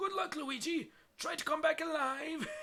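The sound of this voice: A put-on character voice, high-pitched and strained, delivers its lines at a moderate pace.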